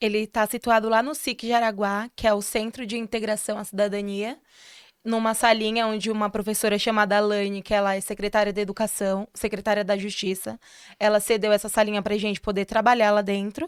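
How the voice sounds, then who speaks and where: A woman's fairly high, quick-paced voice in monotone, flat intonation, with a dry, close sound with no echo on a very clean recording with a silent background. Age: 20s. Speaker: history student and social project founder. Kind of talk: interview.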